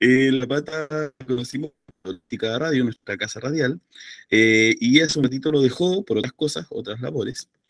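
With a normal speaking voice, a man talks at a medium pitch and a moderate pace, his pitch varying in an ordinary way, in a dry, close sound with no echo. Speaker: book club host. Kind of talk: book club discussion. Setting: video call.

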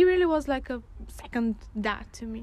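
This is a woman speaking. She has a Bulgarian accent. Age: 20s. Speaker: graphic design student. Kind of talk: casual chat. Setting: outdoors.

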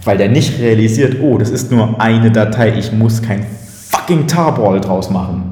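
Speaking at a fairly slow pace with ordinary pitch variation, the voice comes through with noticeable background noise and audible room echo. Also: man, medium pitch for a man. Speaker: podcast co-host. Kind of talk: casual chat. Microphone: room echo, not the proper microphone.

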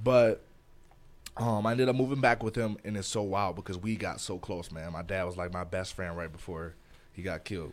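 A man talks at a fairly quick pace. His very deep, low voice shows ordinary pitch variation. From Detroit, Michigan, US. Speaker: podcast co-host. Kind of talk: casual chat.

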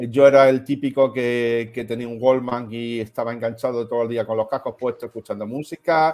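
A man with a medium pitch and a normal speaking voice talks at a moderate pace with hardly any pauses, fairly even intonation and big swings in loudness. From Melilla, Spain. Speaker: self-employed tech enthusiast. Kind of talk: casual chat.

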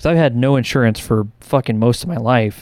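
Speaking at a fairly quick pace, a man has an ordinary speaking voice at a medium pitch, with fairly even intonation. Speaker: podcast co-host. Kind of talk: casual chat.

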